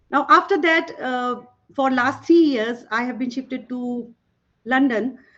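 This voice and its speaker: A woman with a Bengali accent, high-pitched, at a moderate pace with lively intonation. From Northeast India, Tripura. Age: 50s. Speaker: toxicologist and former professor. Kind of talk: panel talk.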